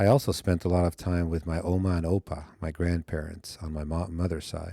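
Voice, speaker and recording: A man with a Spanish accent, very deep, low pitch, dark, mellow tone, fairly even intonation and moderate pace, in a very clean recording with a silent background and a dry, close sound with no echo. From Argentina, Netherlands and California, US. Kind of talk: personal narration.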